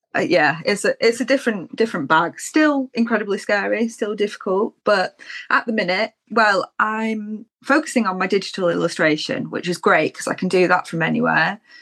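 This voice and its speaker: Moderate pace and hardly any pauses from a woman with a plain, everyday voice at medium pitch. Her intonation is lively, and the sound is dry and close with no echo. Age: 30s. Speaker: illustrator. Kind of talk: casual chat.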